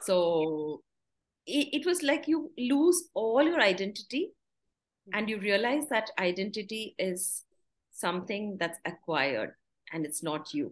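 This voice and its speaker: Her pitch swinging very widely around a medium level, a woman speaks at a fairly slow pace. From South India (Ooty, Tamil Nadu). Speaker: podcast guest. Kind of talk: interview conversation.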